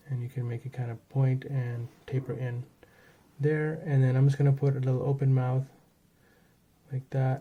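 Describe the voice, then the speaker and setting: A man with a dark, mellow, somewhat breathy tone speaks in a monotone, flat intonation, leaving long, frequent pauses. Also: medium pitch for a man. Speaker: art tutorial creator. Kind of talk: tutorial. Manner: fast; casual, with fillers.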